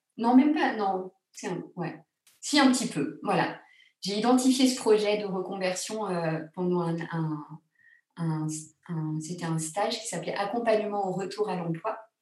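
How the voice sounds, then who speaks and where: In a room with audible echo, a woman speaks at a fairly slow pace with lively intonation and long, frequent pauses. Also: medium pitch for a woman. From France, Grenoble. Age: 40s. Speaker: secular funeral celebrant, former theatre actress. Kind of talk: casual interview. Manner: hesitant, many fillers.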